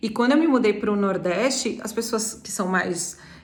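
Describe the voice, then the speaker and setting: A woman speaks at a fairly high pitch with ordinary pitch variation. The room echo is audible. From Brazil, São Paulo city. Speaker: travel agency owner. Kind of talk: personal talk on living abroad. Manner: fast.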